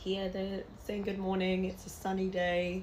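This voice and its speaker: A woman speaks at a medium pitch in a monotone, flat intonation. Audible room echo surrounds her voice. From England. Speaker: social media creator. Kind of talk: casual vlog monologue. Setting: outdoors on a porch.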